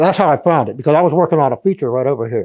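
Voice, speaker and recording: A man with an American accent, a fairly high pitch and a dark, mellow tone. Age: 70s. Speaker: amateur archaeologist. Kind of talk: talk at a local history society. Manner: halting.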